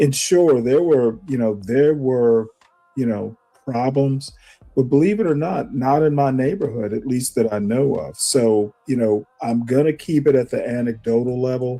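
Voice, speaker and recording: A man speaks in an ordinary speaking voice with an American accent. His medium pitch shows ordinary pitch variation, and he keeps a moderate pace. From US South, Savannah, Georgia. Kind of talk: heated debate.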